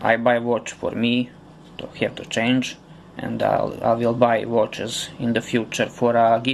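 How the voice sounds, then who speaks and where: Pausing long and often, a man with a Serbian accent speaks at a very slow pace amid noticeable background noise. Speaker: customer reviewer. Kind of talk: product review. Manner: halting, with many fillers.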